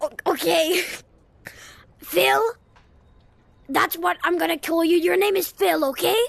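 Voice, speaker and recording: This put-on character voice moves at a fairly slow pace. Long pauses come often. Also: man, extremely high pitch for a man. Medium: machinima. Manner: exasperated, blunt.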